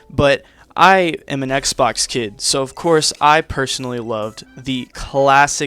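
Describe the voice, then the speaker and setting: With music in the background, a man at medium pitch speaks at a fairly slow pace in a dry, close sound with no echo. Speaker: gaming YouTuber. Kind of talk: casual vlog monologue.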